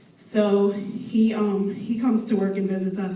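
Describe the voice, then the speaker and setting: A woman's medium-pitched voice in monotone, flat intonation, over noticeable background noise. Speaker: stand-up comedian. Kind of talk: live stand-up comedy. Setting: live event at church.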